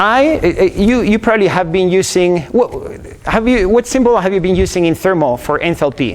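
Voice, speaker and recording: A man with an Argentine accent speaks at a high pitch and moderate pace with lively intonation, over noticeable background noise. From Argentina. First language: Spanish. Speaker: engineering professor. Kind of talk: lecture. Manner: halting, many repetitions and fillers.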